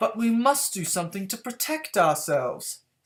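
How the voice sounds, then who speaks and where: Fairly high-pitched and moderately paced, a put-on character voice. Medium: read story.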